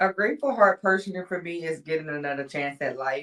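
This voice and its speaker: A woman speaks with ordinary pitch variation. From Louisiana (Ville Platte). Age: 30s. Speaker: podcast guest, realtor and caterer. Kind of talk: casual chat; testimony. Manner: hesitant, with fillers.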